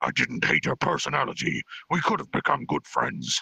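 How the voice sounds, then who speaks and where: A growling, put-on character voice. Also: man, fairly high pitch for a man, moderate pace. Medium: virtual streamer. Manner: bold, commanding.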